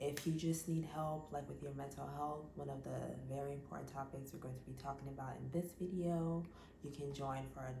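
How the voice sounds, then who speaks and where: Heard over noticeable background noise, a woman talks in a room with audible echo. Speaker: fitness and mental health vlogger. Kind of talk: casual vlog monologue.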